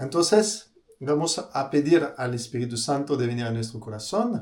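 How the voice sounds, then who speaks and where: A man at a medium pitch. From France. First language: French (speaking Spanish). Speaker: priest. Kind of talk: religious talk. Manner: halting, many fillers and repeated words.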